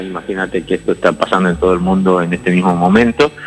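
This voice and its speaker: Music plays in the background as a man talks at a fairly quick pace. His pitch is fairly low. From Argentina, Jujuy (San Pedro). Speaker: infectious disease doctor. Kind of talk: interview. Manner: halting, many repetitions.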